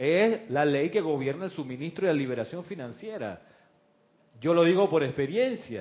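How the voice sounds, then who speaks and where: A man's plain, everyday voice, fairly high in pitch, with lively intonation at a moderate pace. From Chile. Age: 60s. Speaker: spiritual teacher and radio host. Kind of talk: spiritual class on live radio. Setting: studio with camera, live broadcast.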